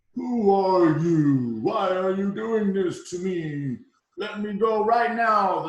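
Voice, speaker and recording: A put-on character voice at a very slow pace, with a slight echo. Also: man, high pitch for a man. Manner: struggling, indignant, demanding.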